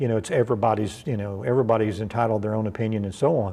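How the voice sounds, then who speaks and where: This man speaks with a Kentucky accent. His voice is medium in pitch with a dark, mellow tone. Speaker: pastor. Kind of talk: bible study sermon. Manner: conversational, repetitive with fillers.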